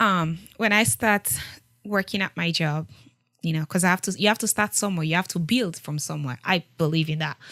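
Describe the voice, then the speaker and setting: A woman with a strong West African accent speaks in a fairly low voice with ordinary pitch variation and a bright, sharp tone. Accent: thick West African. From Sierra Leone. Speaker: war refugee. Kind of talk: interview. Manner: animated.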